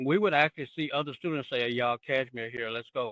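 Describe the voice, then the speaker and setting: With an American accent, a man talks at a fairly high pitch with ordinary pitch variation. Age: 60s. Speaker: former high school band member. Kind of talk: casual chat. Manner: animated.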